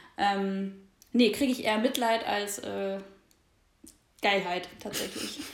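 Audible room echo surrounds a woman speaking at a very slow pace. Her medium pitch shows ordinary variation, broken by long, frequent pauses. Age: 20s. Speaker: podcast co-host. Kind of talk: casual chat. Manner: hesitant, many filler sounds.

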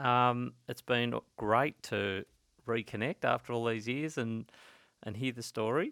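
A man with an Australian accent speaks at a fairly slow pace, his medium-pitched voice bright and sharp, his intonation fairly even. The recording is very clean with a silent background, and the sound is dry and close with no echo. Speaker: podcast host, financial advisor. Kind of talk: casual interview.

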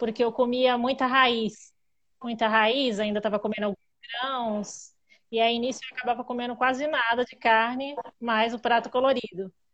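A woman with a high pitch speaks at a moderate pace in a monotone, flat intonation, her loudness swinging widely. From Greater São Paulo, Brazil. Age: 30s. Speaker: podcast guest, carnivore diet follower. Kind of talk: casual chat.

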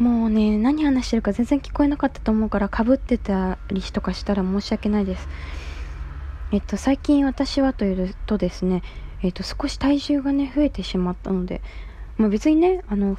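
Her voice fairly high in pitch, a woman talks at a moderate pace with lively intonation. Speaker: solo podcaster. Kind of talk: casual monologue.

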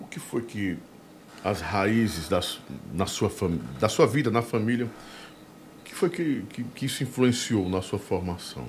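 Somewhat breathy and medium-pitched, a man speaks at a very slow pace with lively intonation and big swings in loudness. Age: 50s. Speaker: podcast and radio host. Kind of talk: casual interview chat. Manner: animated.

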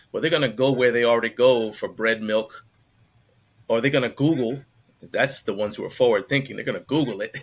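The man has a plain, everyday voice at a medium pitch. He talks at a fairly quick pace with fairly even intonation. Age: 50s. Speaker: fitness content creator. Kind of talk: roundtable discussion.

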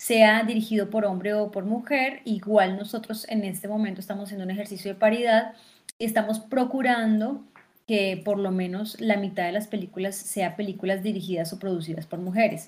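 Somewhat breathy, a woman talks at a fairly quick pace. Her medium pitch follows fairly even intonation. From Colombia, Fusagasugá (Cundinamarca). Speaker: actress, theatre director and film festival director. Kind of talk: interview.

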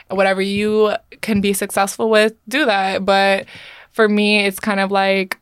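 A woman's plain, everyday voice, medium in pitch, fairly even in intonation, very even in loudness and fairly slow in pace. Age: 20s. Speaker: Hooters waitress and calendar model. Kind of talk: casual chat.

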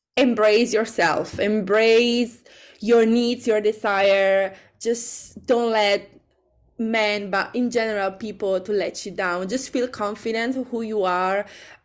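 A woman talks with an Italian accent. Her intonation stays fairly even. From Italy. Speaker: singer-songwriter. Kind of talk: interview. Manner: halting.

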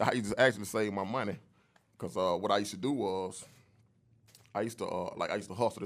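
The speech runs at a very fast pace with fairly even intonation. Long pauses come often. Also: man. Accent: American. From Atlanta, US South. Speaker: entertainment entrepreneur, clothing brand owner. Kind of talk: casual interview. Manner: laid back.

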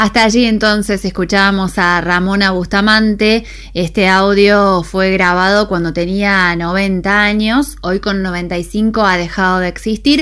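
A woman speaks at a medium pitch and a fairly slow pace with hardly any pauses, fairly even intonation and very even loudness, while background noise is noticeable. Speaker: radio host. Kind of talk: radio news and weather.

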